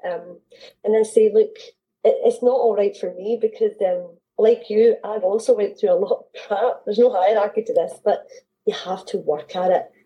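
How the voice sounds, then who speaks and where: A woman with a Scottish accent speaks at a moderate pace, her loudness swinging widely. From Scotland. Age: 40s. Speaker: mindset coach and author. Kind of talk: interview.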